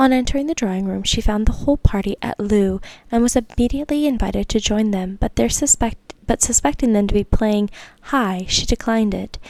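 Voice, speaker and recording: Soft-spoken and whispering, a woman talks at a fairly quick pace. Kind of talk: audiobook-style classic novel reading. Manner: soft-spoken, whispering.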